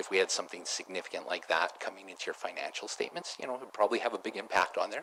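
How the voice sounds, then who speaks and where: A man speaks at a very fast pace. Noticeable background noise runs underneath. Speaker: auditor. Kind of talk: formal presentation to council. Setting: council chamber meeting. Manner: mumbling. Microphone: too far from the mic at first.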